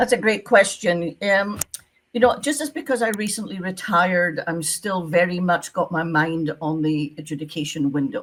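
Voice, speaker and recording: A woman with a Scottish accent speaks at a moderate pace in a fairly low pitch. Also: lively intonation. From Scotland. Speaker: retired visa officer, visa consultant. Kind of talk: interview.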